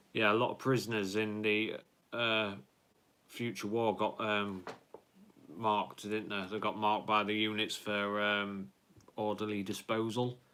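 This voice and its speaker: Fairly slow and fairly low-pitched, a man speaks in an English accent with a bright, sharp tone and monotone, flat intonation. He leaves long, frequent pauses. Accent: English accent, viewer asked if Yorkshire. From Lincolnshire, England. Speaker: YouTuber, film fan live streamer. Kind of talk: live stream chat, reading viewer comments. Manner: casual, hesitant with fillers.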